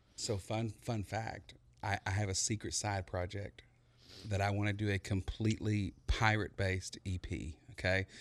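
Set against a quiet background, a man with a Texan accent speaks at a moderate pace in a fairly low pitch with fairly even intonation. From East Texas (Buna). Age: 30s. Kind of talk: casual interview chat.

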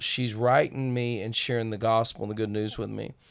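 Fairly even intonation and a fairly quick pace mark this speaker with a Southern US accent. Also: man, very clean recording, silent background. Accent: Southern US (Georgia). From small-town Georgia. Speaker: pastor and former gang leader. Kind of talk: testimony.

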